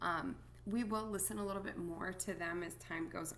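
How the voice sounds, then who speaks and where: Soft-spoken delivery at a moderate pace, with vocal fry and audible room echo. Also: woman. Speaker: music teacher. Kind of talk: recorded lesson for students. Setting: at home. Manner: quiet, soft-spoken; many filler words.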